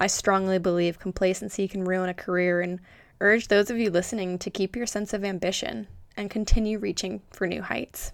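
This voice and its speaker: An ordinary speaking voice from a woman at a medium pitch and a fairly quick pace, in a very clean recording with a silent background. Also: fairly even intonation. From Florida, US. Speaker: professional dancer and podcast host. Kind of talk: scripted monologue.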